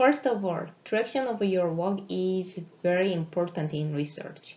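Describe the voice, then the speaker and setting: Spoken at a fairly slow pace with a non-native accent, the voice carries audible room echo. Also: woman. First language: not English. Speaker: research scientist. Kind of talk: lecture.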